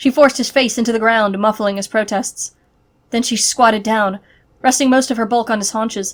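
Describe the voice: The delivery is plain reading aloud.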